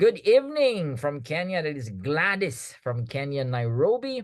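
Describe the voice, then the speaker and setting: A man's animated, fairly high voice at a fairly slow pace, with very wide pitch swings. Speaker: product presenter. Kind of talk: online sales presentation. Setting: video call.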